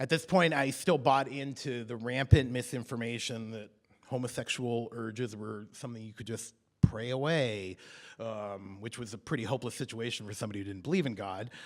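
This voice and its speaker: A man with a medium pitch and a normal speaking voice talks at a fairly quick pace, with big swings in loudness. The recording is very clean, with a silent background. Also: ordinary pitch variation. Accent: American. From US Pacific Northwest (Salem, Oregon). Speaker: storyteller. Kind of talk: storytelling performance. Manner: conversational with frequent fillers.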